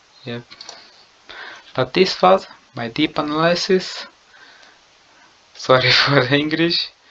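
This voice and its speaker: Very slowly and with long, frequent pauses, a man with a non-native accent speaks at a fairly high pitch, showing ordinary pitch variation and big swings in loudness. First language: not English. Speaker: gaming YouTuber. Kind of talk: video game lap analysis commentary. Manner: halting.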